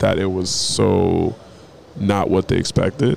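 With music in the background, a man with an American accent talks at a fairly low pitch and a fairly slow pace. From US Northeast (New England). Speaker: podcast host. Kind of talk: casual chat. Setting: hotel mezzanine in Lagos. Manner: animated.

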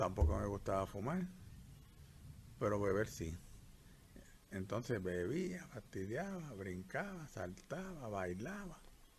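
A man with a fairly low pitch and somewhat breathy voice talks at a very slow pace. His intonation is lively, with long, frequent pauses. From Puerto Rico. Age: 70s. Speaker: retired doctor. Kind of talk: life story interview. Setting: countryside during rain.

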